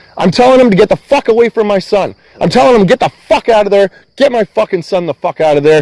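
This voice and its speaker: Lively in intonation, a man talks at a very fast pace and a high pitch. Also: dry, close sound with no echo. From Canada. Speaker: van dweller vlogger. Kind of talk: heated conversation. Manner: agitated, swearing-heavy.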